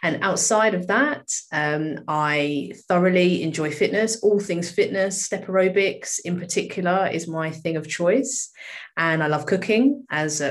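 With a British accent, a woman speaks at a moderate pace, her pitch fairly low with ordinary variation. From UK. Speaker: solicitor and charity co-founder. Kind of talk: casual interview.

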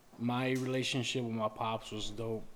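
A monotone, flat delivery in an American accent, with audible room echo. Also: man. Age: 30s. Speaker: podcast guest. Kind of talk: casual chat.

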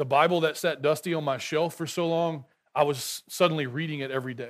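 In an American accent, a man speaks with a fairly high pitch and fairly even intonation. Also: very clean recording, silent background. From rural Texas. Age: 40s. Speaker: guest preacher. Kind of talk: sermon. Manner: halting.

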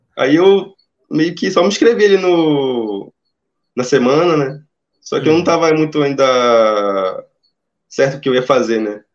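Speaking at a fairly slow pace with long, frequent pauses, a man with a fairly high pitch uses lively intonation. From Amazonas, Brazil. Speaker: engineering student turned junior programmer. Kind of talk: interview. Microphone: phone used for audio.

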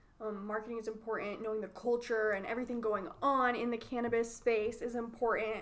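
Noticeable background noise runs behind a woman with a fairly high pitch. She speaks at a fairly quick pace in a monotone, flat intonation with hardly any pauses. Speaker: marketing podcast host. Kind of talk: casual chat.

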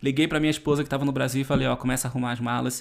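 On a very clean recording with a silent background, a man with a fairly high pitch speaks with fairly even intonation. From Brazil. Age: 30s. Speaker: travel youtuber and podcast host. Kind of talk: solo podcast monologue.

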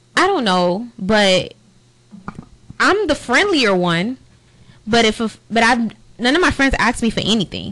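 Her pitch is fairly high. The speaker is a woman. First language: not English. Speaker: podcast co-host. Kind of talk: casual chat.

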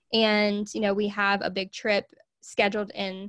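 A woman with a Southern US accent talks at a moderate pace and a fairly high pitch, recorded very cleanly against a silent background. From US South, Arkansas. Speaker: podcast host and small business owner. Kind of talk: casual interview chat. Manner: laughs often.

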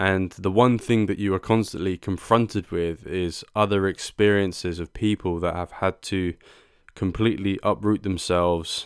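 A man with a British accent speaks at a moderate pace in a very deep, low pitch with fairly even intonation. The very clean recording has a silent background and a dry, close sound with no echo. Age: 20s. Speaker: podcast host. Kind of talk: solo podcast monologue.

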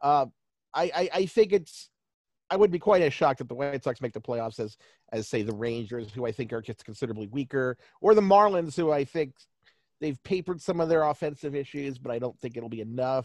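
A man's normal speaking voice, fairly high in pitch with lively intonation, over a quiet background with a dry, close sound and no echo. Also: fairly quick pace. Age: 40s. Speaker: baseball stats writer. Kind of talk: interview.

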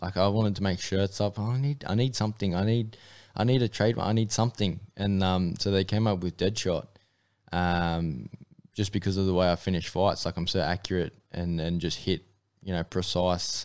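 With an Australian accent, a man with a very deep, low pitch speaks at a moderate pace and fairly even intonation on a very clean recording with a silent background. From North Queensland, Australia (Mackay). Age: 20s. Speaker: amateur MMA fighter. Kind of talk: interview. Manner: casual, hesitant fillers.

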